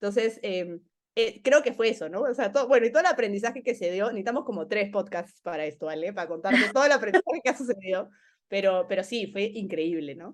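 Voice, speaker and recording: Very fast and in an animated tone, a woman talks at a medium pitch with lively intonation. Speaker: learning program manager. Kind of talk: casual interview chat.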